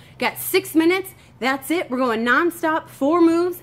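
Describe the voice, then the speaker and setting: Lively intonation marks a woman's speech, delivered at a moderate pace. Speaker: fitness instructor. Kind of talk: workout tutorial chat. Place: garden. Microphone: phone near.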